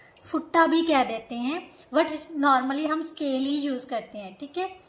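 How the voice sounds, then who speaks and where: A woman's high-pitched voice in a Punjabi accent, with ordinary pitch variation and audible room echo. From Punjab, India. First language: Punjabi (speaking Hindi). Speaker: maths teacher. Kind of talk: lecture. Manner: repetitive questioning, teacherly.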